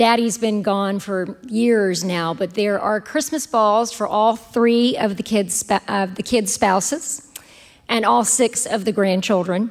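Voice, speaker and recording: At a fairly slow pace, a woman speaks with a Southern US accent in a fairly high pitch. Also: ordinary pitch variation. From US South. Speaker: professional storyteller. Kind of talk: casual chat; storytelling performance.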